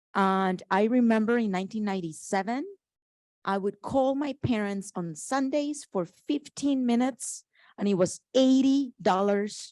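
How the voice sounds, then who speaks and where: A woman with a Spanish accent speaks at a fairly slow pace, her tone dark and mellow with lively intonation. The sound is dry and close with no echo, against a quiet background. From Colombia. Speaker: panelist. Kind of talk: panel discussion.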